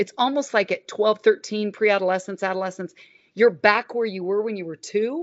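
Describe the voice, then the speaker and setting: At a fairly quick pace, a woman talks in an animated tone at a medium pitch. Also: ordinary pitch variation. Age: 60s. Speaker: licensed counselor and author. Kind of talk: casual chat.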